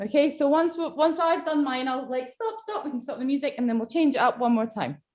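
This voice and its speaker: In a Scottish accent, a woman talks at a fairly quick pace with a high pitch, lively intonation, and an animated tone. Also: hardly any pauses. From Scotland. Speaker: online movement workshop leader. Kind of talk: live instruction on a video call.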